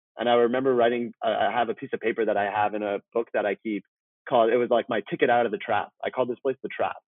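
A man with a Canadian accent at medium pitch, very fast and fairly even in intonation. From Vancouver, Canada (born in Iran). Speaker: talent manager. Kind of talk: interview conversation.

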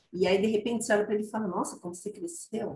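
The woman's fairly high voice comes across somewhat breathy. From Brazil, Guarulhos (São Paulo). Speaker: psychologist and consultant. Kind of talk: casual chat.

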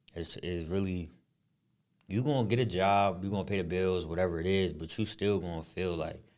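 A man with an American accent talks at a fairly quick pace in a very deep, low pitch with ordinary pitch variation. Audible room echo surrounds his voice. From Harrisburg, Pennsylvania, US. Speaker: podcast co-host, former basketball player. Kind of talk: casual chat.

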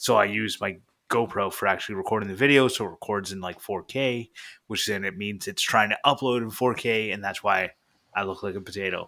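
In a very clean recording with a silent background, a man with a Canadian accent uses a normal speaking voice, fairly low in pitch, with fairly even intonation. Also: fairly quick pace. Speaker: maker and podcaster. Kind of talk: casual chat.

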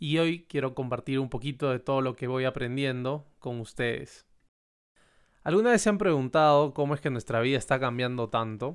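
An unremarkable speaking voice comes through here. Pitch rises and falls in an ordinary way. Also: man, medium pitch for a man, moderate pace. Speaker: podcast host. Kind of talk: podcast monologue.

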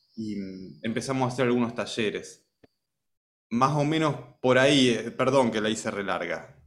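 A man talks at medium pitch and a moderate pace, with ordinary pitch variation. He leaves long, frequent pauses, and audible room echo is present. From Argentina, Rosario area. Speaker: music teacher, music school founder. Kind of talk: casual chat.

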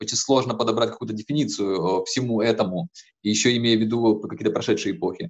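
At a fairly quick pace and medium pitch, a man talks with fairly even intonation in a dry, close sound with no echo. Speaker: podcast host and lecturer. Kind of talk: interview conversation. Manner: halting, many fillers.

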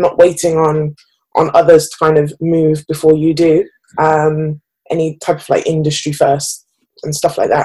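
The tone is dark and mellow, the intonation monotone and flat. It moves at a moderate pace. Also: woman. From England, Birmingham. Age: 20s. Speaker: advertising professional. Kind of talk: interview.

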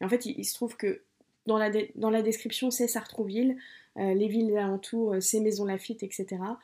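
A woman's fairly high voice carries a dark, mellow tone. Her intonation is monotone and flat. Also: moderate pace. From Paris region, France. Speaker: book podcaster. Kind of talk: book review monologue. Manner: hesitant, with many fillers.

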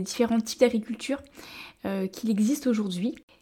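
A woman speaks with fairly high pitch and ordinary pitch variation. Her tone is dark and mellow. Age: young. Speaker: podcast host and naturopath. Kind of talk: interview.

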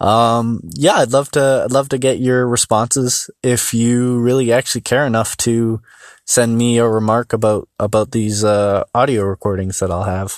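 A man speaks at a moderate pace and medium pitch with hardly any pauses and fairly even intonation. The recording is very clean with a silent background and a dry, close sound with no echo. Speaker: solo podcaster. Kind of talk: casual monologue. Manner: halting, many pauses and fillers.

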